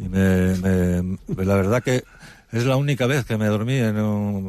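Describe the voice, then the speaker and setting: A dark, mellow tone at a fairly slow pace with ordinary pitch variation. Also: man. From Spain, Asturias (Gijón area). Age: 50s. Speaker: retired footballer and author. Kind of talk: interview.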